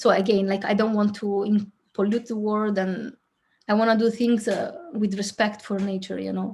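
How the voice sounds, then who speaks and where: A woman with an Italian accent speaks at a moderate pace and a medium pitch. Her voice is somewhat breathy, with monotone, flat intonation. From southern Italy. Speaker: filmmaker. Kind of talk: interview.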